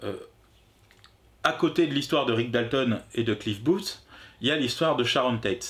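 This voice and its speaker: A man speaks at a medium pitch with lively intonation. He moves at a fairly slow pace, leaving long, frequent pauses. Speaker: film review youtuber. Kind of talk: casual film review chat. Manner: halting.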